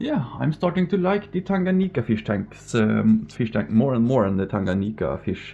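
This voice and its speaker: Over a moderate pace, a man's dark, mellow tone moves through very wide pitch swings. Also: medium pitch for a man. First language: Norwegian. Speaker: fishkeeping vlogger. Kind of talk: casual vlog tour. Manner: halting, stumbling over words.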